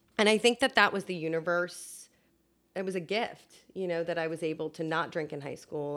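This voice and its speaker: On a very clean recording with a silent background, a woman speaks in an unremarkable speaking voice, with a fairly low pitch and ordinary pitch variation. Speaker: producer and communications director. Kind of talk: casual interview chat. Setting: in person at a home.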